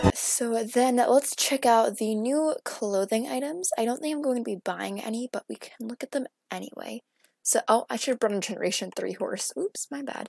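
A soft-spoken woman with a high pitch at a moderate pace, ordinary pitch variation, and a dry, close sound with no echo. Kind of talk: casual gameplay commentary.

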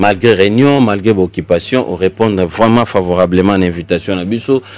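At a moderate pace, a man speaks with a fairly low pitch and ordinary pitch variation in a dry sound with no echo. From DR Congo. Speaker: tv talk show host; TV show host. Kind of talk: political interview; talk-show host commentary. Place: studio. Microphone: studio mic.

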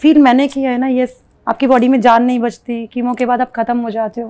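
The voice has a dark, mellow tone and moves at a moderate pace in a flat monotone. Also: woman. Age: 40s. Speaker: cancer survivor sharing her story. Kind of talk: testimony. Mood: earnest, emotional recollection. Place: home room.

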